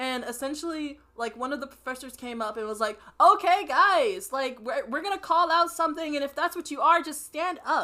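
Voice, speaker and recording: A woman speaks at a moderate pace in a high, raised, projected voice with lively intonation. Her tone is bright, sharp and animated. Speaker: podcast co-host. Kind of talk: casual chat. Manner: loud.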